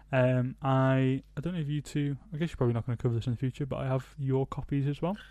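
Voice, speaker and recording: Speaking very fast with a British accent, a man uses a medium pitch, a dark, mellow tone and fairly even intonation against a quiet background. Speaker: podcast co-host. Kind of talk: casual chat.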